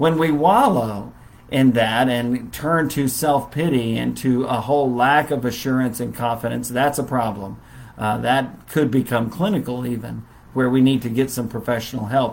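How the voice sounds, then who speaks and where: With ordinary pitch variation and a medium pitch, a man talks in a plain, everyday voice, keeping a moderate pace. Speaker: Bible class teacher. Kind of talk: Bible lesson. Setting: Facebook live stream.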